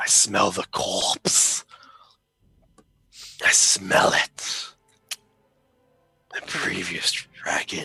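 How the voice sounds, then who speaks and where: A man speaks in a put-on character voice, raspy and very slow, with long, frequent pauses and faint music in the background. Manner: menacing, sniffing, growling.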